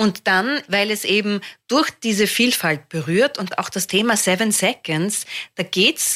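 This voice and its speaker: A woman with an Austrian accent, in a dry, close sound with no echo. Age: 50s. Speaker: comedian. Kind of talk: casual chat.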